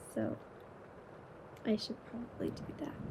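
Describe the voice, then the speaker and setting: A woman is whispering. Her voice is quiet. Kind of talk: ASMR whispered chat to camera. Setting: home bedroom at night with rain sounds. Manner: quiet, whispered.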